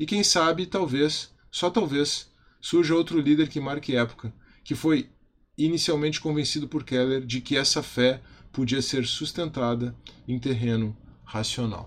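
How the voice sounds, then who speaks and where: A man's fairly high voice at a fairly slow pace, with ordinary pitch variation. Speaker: video channel host, church youth teacher. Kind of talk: spoken video tribute monologue. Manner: casual with filler hesitations.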